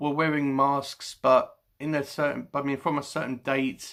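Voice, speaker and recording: The recording is very clean, with a silent background. A man with a British accent speaks at a moderate pace and a medium pitch. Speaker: book vlogger. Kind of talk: casual chat. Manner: halting.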